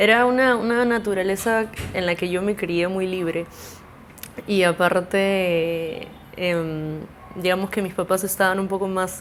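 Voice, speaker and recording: Speech comes at a fairly slow pace with fairly even intonation and long, frequent pauses. Music plays in the background. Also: woman, medium pitch for a woman. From Peru, mostly Lima, early years in Mexico. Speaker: musician. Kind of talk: casual interview. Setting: at home.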